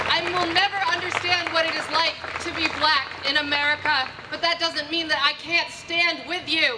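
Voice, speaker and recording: Over crowd noise in the background, a woman uses a raised, projected voice at an extremely high pitch with monotone, flat intonation. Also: moderate pace. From New Hampshire. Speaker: rally speaker. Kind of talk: public speech at rally.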